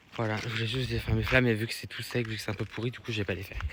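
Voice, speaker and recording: Very fast and fairly low-pitched, a man talks over noticeable background noise. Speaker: vlogger. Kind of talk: casual vlog. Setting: outdoors. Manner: hesitant; loud.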